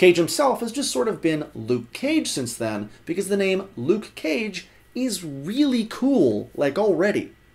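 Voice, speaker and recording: Sounding upbeat, a man talks at a fairly slow pace in a high pitch with very wide pitch swings. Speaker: web series host explaining comics. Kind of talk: educational explainer narration to camera. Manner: upbeat, conversational, humorous.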